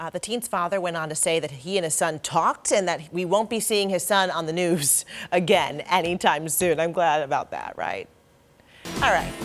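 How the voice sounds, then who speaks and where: A woman with an American accent has a normal speaking voice and a fairly low pitch. She talks at a moderate pace with ordinary pitch variation. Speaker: news anchor and reporter. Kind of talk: local TV news anchoring.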